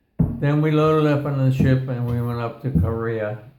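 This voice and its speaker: Audible room echo surrounds a man speaking at a fairly slow pace in a dark, mellow tone. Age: 90s. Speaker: war veteran. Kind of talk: casual chat. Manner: halting.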